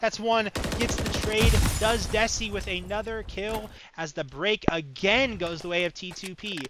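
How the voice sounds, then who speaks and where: The speaker holds a moderate pace over noticeable background noise. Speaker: esports caster. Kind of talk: live commentary. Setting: live stream.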